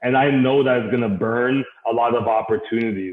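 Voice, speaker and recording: A man's voice at medium pitch. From Canada, Caribbean parents. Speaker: guest speaker on networking. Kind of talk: interview conversation. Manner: enthusiastic, loud.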